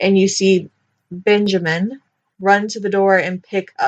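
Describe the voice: Plain reading aloud is heard, and the background is quiet.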